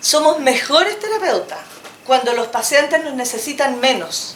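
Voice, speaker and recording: Noticeable background noise and audible room echo surround a woman's voice. She speaks at a fairly slow pace. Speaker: psychologist. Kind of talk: lecture.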